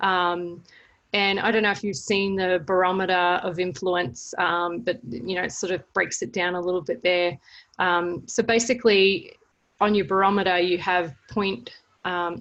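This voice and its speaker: A woman with an Australian accent, medium pitch and ordinary pitch variation, at a fairly slow pace against a quiet background. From Australia, Melbourne. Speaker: service learning educator. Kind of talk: webinar presentation. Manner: hesitant, many fillers.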